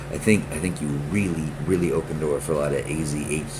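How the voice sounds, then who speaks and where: A man's voice carries audible room echo amid noticeable background noise. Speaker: gaming youtuber. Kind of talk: casual gameplay commentary. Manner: stuttering, repetitive; animated.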